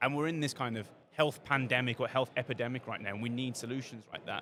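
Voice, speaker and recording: Delivered at a very fast pace, this voice carries a British accent and fairly even intonation. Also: man. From Britain. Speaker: podcast host. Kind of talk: podcast interview. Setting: podcast suite at a conference.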